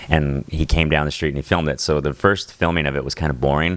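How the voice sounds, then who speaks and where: Over noticeable background noise, a man speaks in a very deep, low pitch with fairly even intonation. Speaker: band member. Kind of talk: casual chat. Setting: studio.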